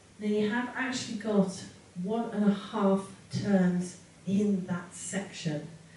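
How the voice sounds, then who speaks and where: There is audible room echo and light background noise as a woman speaks with ordinary pitch variation. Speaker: dance instructor. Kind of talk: tutorial. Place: home room.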